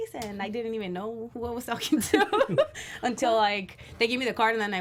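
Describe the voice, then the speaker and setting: The speaker talks at a fairly quick pace with a Spanish accent and ordinary pitch variation. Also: woman. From Mexico, Tijuana. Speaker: pro wrestler. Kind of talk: interview. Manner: animated.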